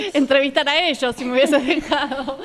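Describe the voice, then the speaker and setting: A woman talks at a moderate pace as light background noise runs behind her. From Argentina. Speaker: talk show host; TV show host. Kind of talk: casual interview. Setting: outdoor café patio. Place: garden. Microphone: handheld.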